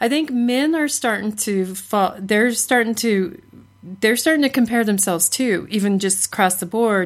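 An unremarkable speaking voice at a fairly slow pace, with ordinary pitch variation, on a very clean recording with a silent background. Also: woman. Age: 40s. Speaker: podcast co-host and psychology student. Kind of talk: casual chat.

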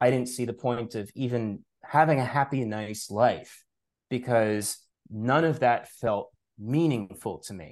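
Against a quiet background, a man with an unremarkable speaking voice and an American accent talks at a fairly slow pace with medium pitch, ordinary pitch variation and big swings in loudness. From New York, Long Island. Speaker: author and spirituality teacher. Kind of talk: interview conversation.

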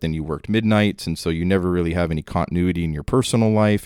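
Very fast delivery in a dark, mellow tone, dry and close with no echo, in a very clean recording with a silent background. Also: man. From northern Minnesota. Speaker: retired police officer. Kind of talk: casual interview, storytelling.

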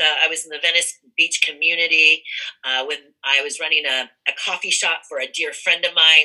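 With an American accent, a woman speaks at a very deep, low pitch and a moderate pace, her intonation monotone and flat. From California. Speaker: cannabis entrepreneur. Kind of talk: interview.

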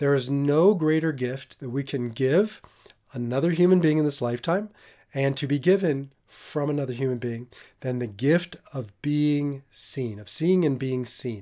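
A man speaks fairly slowly with a dark, mellow tone and fairly high pitch. His pitch variation is ordinary, and the recording is very clean with a silent background. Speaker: podcast host and Enneagram teacher. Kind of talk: solo teaching monologue.

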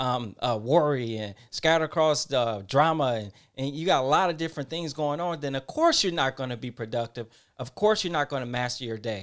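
Fairly high in pitch with ordinary pitch variation, a man with an American accent talks fairly quickly in a plain, everyday voice, in a very clean recording with a silent background. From Detroit, Michigan. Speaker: podcast host. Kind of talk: casual chat.

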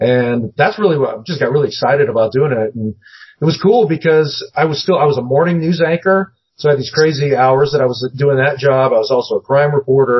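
A man with an American accent talks at a very fast pace and a fairly high pitch. His voice is somewhat breathy, with ordinary pitch variation. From US Northwest, Seattle. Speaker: paranormal TV producer, former news journalist. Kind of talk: casual interview.

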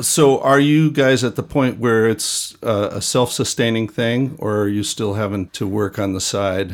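With hardly any pauses, a man talks in a plain, everyday voice of medium pitch and ordinary pitch variation on a very clean recording with a silent background. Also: fairly slow pace. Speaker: podcast host and music educator. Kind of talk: casual interview.

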